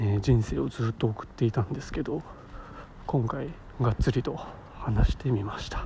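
A man's voice, dark and mellow in tone and somewhat breathy, moves at a fairly quick pace. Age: 20s. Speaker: podcaster. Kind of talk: casual monologue. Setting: outdoors walking.

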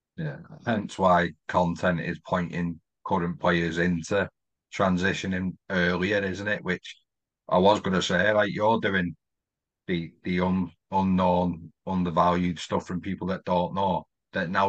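A man's very deep, low voice with a northwest English accent, fairly slow and flat in a monotone, over a quiet background. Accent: north-west English. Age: 30s. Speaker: podcast host. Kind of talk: casual chat.

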